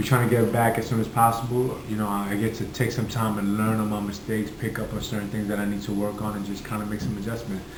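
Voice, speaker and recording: Background noise is noticeable as a man talks very fast in a Brooklyn accent. His intonation is fairly even. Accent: New York (Brooklyn). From Red Hook, Brooklyn, New York. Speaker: professional boxer. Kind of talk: interview answer. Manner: casual, conversational.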